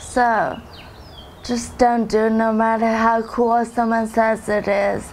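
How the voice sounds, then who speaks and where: A woman speaks at a very slow pace in a fairly high pitch. Her intonation stays monotone and flat. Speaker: former drug user. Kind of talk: testimony. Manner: slow speech.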